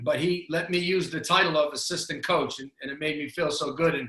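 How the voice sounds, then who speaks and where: A man speaks with a Boston accent at a moderate pace. His pitch is high and his intonation fairly even. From Boston, Massachusetts. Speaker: basketball coach. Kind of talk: interview.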